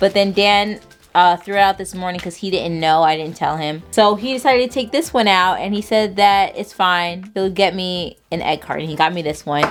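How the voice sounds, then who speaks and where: Hardly pausing, a woman talks at a medium pitch with ordinary pitch variation in a normal speaking voice. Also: moderate pace. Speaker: vlogger. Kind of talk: casual vlog chat. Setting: at home.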